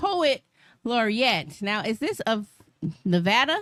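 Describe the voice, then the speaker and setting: A woman speaks loudly at a fairly high pitch, with a bright, sharp tone and lively intonation. Her pace is fairly slow, and the sound is dry and close with no echo. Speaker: radio show host. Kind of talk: casual chat. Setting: radio studio.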